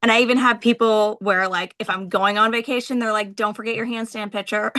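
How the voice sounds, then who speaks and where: In a New England accent, a woman speaks with a bright, sharp tone and fairly even intonation. The background is quiet. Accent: New England American. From Vermont. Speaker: military member and business leader. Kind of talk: interview. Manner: casual, conversational.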